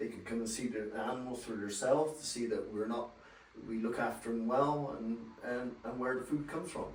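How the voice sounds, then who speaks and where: A man speaks with a West Country accent. There is noticeable background noise and audible room echo. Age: 60s. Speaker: dairy farmer. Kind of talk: on-location interview. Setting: on a farm. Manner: hesitant, plain-spoken.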